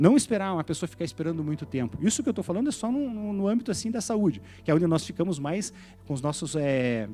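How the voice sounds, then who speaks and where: A man at a very fast pace and high pitch, with very wide pitch swings and music in the background. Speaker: pastor. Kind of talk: sermon.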